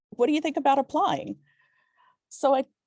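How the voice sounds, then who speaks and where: A woman with a Texan accent and a dark, mellow tone, in a dry, close recording with no echo. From Texas, small town. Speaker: career panelist, communications professional. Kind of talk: career talk to students.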